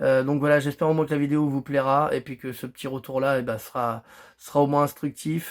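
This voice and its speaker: In a very clean recording with a silent background, a man talks at a fairly quick pace. His voice is fairly high for a man, with monotone, flat intonation. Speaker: fishing youtuber. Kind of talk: casual vlog monologue. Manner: halting, many fillers and repetitions.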